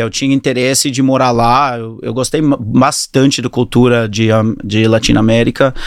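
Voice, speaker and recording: A man with an English accent speaks with ordinary pitch variation. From New Zealand and Australia (Auckland-born, moved to Australia at 10). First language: English (speaking Portuguese). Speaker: fitness studio entrepreneur. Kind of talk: interview. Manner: halting.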